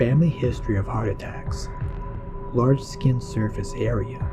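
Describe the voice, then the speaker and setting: A man's speech rises and falls with lively intonation while music runs underneath. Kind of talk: horror story narration, first-person creepypasta reading.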